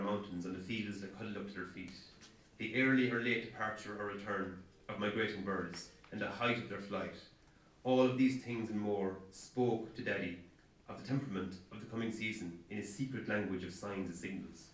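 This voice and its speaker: A man with an Irish accent talks at a fairly quick pace, his pitch fairly low and his intonation fairly even. Room echo is audible. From Ireland. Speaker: author. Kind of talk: author reading aloud from his novel. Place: hall.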